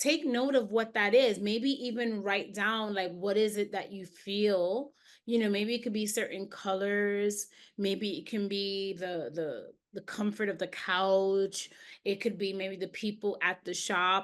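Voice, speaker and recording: A woman with an American accent and an unremarkable speaking voice, medium in pitch with ordinary pitch variation, at a fairly slow pace. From New York, Jamaican heritage. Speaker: empowerment coach and teacher. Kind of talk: interview conversation. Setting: video call.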